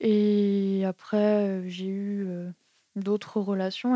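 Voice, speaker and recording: A woman's medium-pitched voice, dark and mellow, flat and monotone, in a very clean, dry, close recording with no echo and a silent background. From France, Strasbourg (Alsace). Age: 20s. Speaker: young job seeker, aspiring tattoo artist. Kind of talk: interview testimony. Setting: host's apartment. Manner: hesitant, many fillers.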